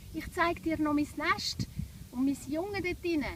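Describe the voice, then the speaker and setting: Against noticeable background noise, a woman with a Swiss accent speaks in a high pitch. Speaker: children's yoga teacher. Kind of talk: guided children's yoga story.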